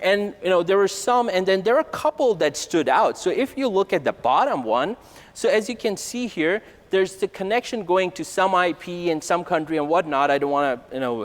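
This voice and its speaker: Speaking at a fairly quick pace, a man with a high pitch moves through very wide pitch swings. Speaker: conference presenter. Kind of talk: technical conference talk. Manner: fast; casual, conversational. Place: hall.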